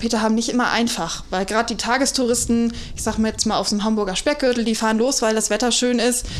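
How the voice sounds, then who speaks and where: Amid noticeable background noise and audible room echo, a woman with a fairly high pitch talks at a very fast pace with hardly any pauses and fairly even intonation. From North Frisia, Germany. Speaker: deputy hotel manager. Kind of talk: casual interview chat. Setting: hotel, in person.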